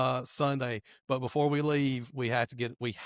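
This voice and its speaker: A man's medium-pitched, monotone voice with flat intonation, moderate pace, and a dry, close sound with no echo. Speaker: podcast host. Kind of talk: casual chat. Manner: loud.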